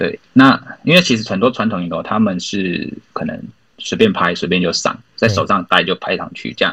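The speaker talks at a moderate pace with a Taiwanese accent. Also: man. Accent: Taiwanese Mandarin. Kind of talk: podcast interview.

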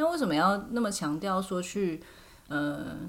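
A woman speaks at a very slow pace with ordinary pitch variation, and audible room echo surrounds her voice. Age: 30s. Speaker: podcast host. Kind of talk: casual chat.

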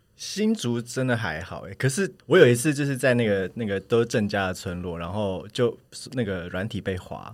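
A man with a plain, everyday voice talks at medium pitch and a moderate pace. His intonation is lively, and the recording is very clean, with a silent background. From Taiwan, Hsinchu (Hakka family). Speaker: podcast guest. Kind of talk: casual chat.

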